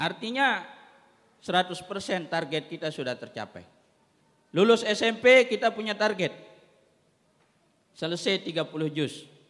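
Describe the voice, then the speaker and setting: A man's high voice at a moderate pace, with lively intonation, big swings in loudness and long, frequent pauses. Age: 30s. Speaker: head of an Islamic school foundation. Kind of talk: formal ceremony speech. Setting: graduation ceremony.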